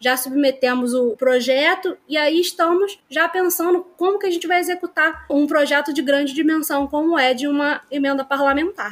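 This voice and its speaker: Hardly pausing at all, a woman speaks at a high pitch with ordinary pitch variation. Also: moderate pace. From Nova Iguaçu, Baixada Fluminense, Rio de Janeiro state, Brazil. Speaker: librarian. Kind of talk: podcast interview.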